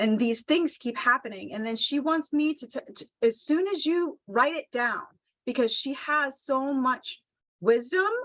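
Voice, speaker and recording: A woman with a high voice talks at a fairly slow pace, her intonation lively and her loudness swinging widely. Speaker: animal communicator. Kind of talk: live animal communication reading.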